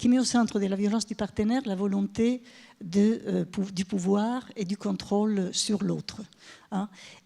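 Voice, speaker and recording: Recorded very cleanly against a silent background, a woman with an Italian accent speaks slowly-ish at a fairly slow pace, medium in pitch with a dark, mellow tone. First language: Italian (speaking French). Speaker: professor. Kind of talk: conference talk. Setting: stage with audience. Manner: halting.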